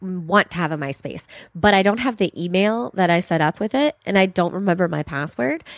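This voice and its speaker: A woman's unremarkable speaking voice, medium in pitch with lively intonation, in a dry, close recording with no echo. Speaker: comedian. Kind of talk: casual chat. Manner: laughs often.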